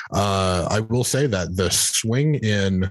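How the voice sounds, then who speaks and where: A man speaks against a quiet background. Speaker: election analyst and newsletter writer. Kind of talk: casual political interview.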